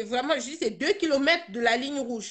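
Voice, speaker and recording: A woman talks, her pitch moving up and down by a normal amount. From Cameroon, Bamenda (North-West region). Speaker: participant in a live video discussion. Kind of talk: live online discussion, personal testimony. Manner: halting, many repetitions and hesitations.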